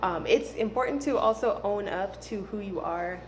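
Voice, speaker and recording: A woman is speaking, with audible room echo around her voice. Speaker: spiritual healing vlogger. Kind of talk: casual monologue. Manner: hesitant, many fillers.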